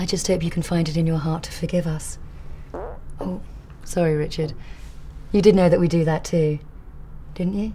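Over light background noise, a woman with a fairly low pitch and a dark, mellow tone speaks at a moderate pace, somewhat breathy and monotone, with flat intonation and long, frequent pauses. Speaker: actress playing a company chief executive. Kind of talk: TV commercial read. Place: office.

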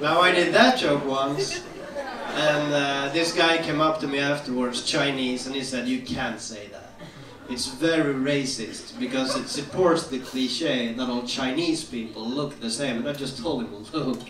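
A man's fairly high voice in a Swedish accent, with noticeable background noise. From Sweden. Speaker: stand-up comedian. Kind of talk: stand-up comedy set. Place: stage.

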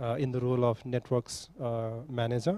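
A man's dark, mellow, medium-pitched voice at a moderate pace, dry with no echo. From Nepal. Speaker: panel moderator. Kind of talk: moderating a conference panel. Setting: conference hall with audience. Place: hall. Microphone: handheld.

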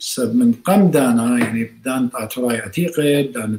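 At a fairly slow pace, a man talks with ordinary pitch variation, and room echo is audible. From Iraq. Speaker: surgeon and professor; professor. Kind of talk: interview. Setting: video call. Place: home room.

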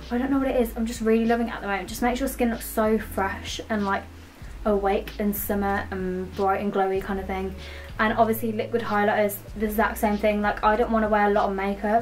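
A woman with a British accent talks at a very fast pace. There is light background noise. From UK. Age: young. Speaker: beauty and fashion vlogger. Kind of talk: casual talk to camera. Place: home room. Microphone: camera far.

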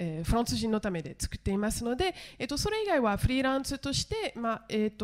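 With a French accent, the speaker talks very fast against a quiet background. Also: woman. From France. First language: French (speaking Japanese). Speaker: TV journalist and director; TV journalist. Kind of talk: conference panel discussion. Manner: halting, many fillers. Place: hall. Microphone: handheld.

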